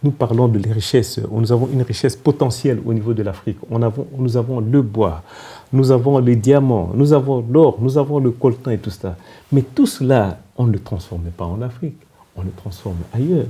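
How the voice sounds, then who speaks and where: A man speaks with a Congolese accent at a moderate pace. His tone is dark and mellow and somewhat breathy. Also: medium pitch for a man, ordinary pitch variation. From DR Congo. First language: Kikongo (speaking French). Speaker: politician and former diplomat. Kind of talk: TV interview. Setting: TV studio. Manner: halting.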